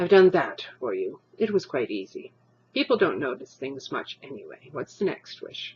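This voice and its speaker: A put-on character voice, gruff and set at a middle pitch. It moves along at a moderate pace. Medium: read story. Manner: gruff, offhand.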